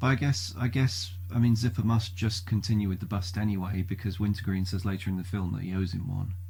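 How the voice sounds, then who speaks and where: A man speaks at a very fast pace with hardly any pauses, his very deep, low pitch carrying a dark, mellow tone. His voice is somewhat breathy, and his intonation stays fairly even. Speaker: podcast co-host. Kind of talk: casual podcast conversation.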